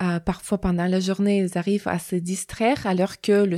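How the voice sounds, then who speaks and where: On a very clean recording with a silent background, a woman with a Russian accent speaks at a fairly slow pace in a medium pitch, her tone dark and mellow, the sound dry and close with no echo. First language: Russian (speaking French). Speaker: psychologist. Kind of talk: interview testimony. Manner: halting, many hesitations.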